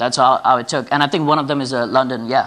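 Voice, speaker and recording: This man's voice has a bright, sharp tone. His intonation is fairly even. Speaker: tech company CEO. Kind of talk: product demo presentation. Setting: round-table meeting. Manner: fast.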